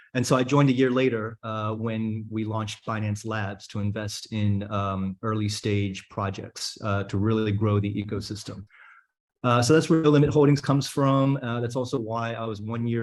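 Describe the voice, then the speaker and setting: With an American accent, a man in an ordinary speaking voice talks at a moderate pace, his pitch fairly low and his intonation fairly even. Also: quiet background. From United States. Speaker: crypto investor. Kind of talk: fireside chat talk.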